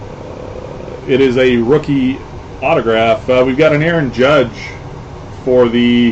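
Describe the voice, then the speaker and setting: A man at a medium pitch speaks very slowly with long, frequent pauses and fairly even intonation, over noticeable background noise and audible room echo. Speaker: sports card breaker. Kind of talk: live card break stream. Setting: live stream with people in the room. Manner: loud.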